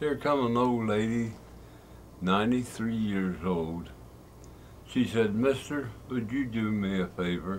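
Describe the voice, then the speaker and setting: A man with an Appalachian accent, at a fairly slow pace with long, frequent pauses, amid audible room echo. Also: medium pitch for a man, ordinary pitch variation. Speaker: old-time fiddler. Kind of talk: casual storytelling.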